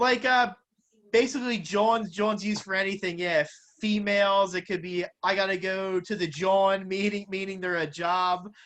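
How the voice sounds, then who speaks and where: The speaker has a strong Philadelphia accent and keeps a moderate pace. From Philadelphia, US. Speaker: boxing interviewer. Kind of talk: casual interview.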